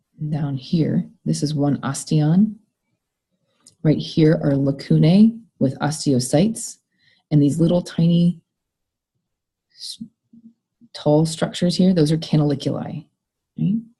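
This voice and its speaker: A woman's very deep, low voice, somewhat breathy with a dark, mellow tone, fairly slow with long, frequent pauses and ordinary pitch variation. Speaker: college biology instructor. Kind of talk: recorded lecture.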